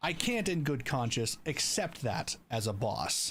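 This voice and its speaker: With vocal fry, a man speaks at a fairly high pitch. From Canada. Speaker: streamer and video creator. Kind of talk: recording a voiceover while livestreaming, with repeated retakes and chat replies; casual chat with viewers. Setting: livestream. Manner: repeated retakes of lines.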